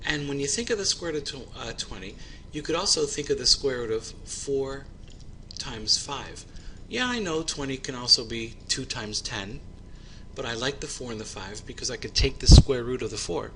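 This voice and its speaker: Fairly quick male speech with noticeable background noise behind it. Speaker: high school math teacher. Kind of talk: tutorial. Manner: fast.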